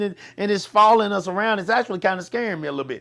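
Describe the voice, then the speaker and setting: The speaker has an animated tone over noticeable background noise. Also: man. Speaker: talk show host. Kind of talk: casual chat. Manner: loud.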